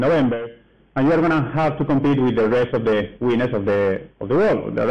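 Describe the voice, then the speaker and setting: A man with a strong Spanish accent at a fairly quick pace, ordinary pitch variation, audible room echo around him. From Spain. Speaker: developer advocate. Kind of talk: conference talk. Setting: stage at a meetup with audience. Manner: halting, many fillers.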